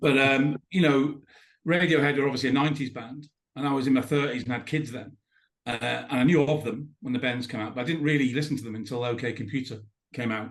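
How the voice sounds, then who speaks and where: Fairly even in intonation, a man at a medium pitch speaks at a very fast pace. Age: 60s. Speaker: podcast guest. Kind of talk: casual chat.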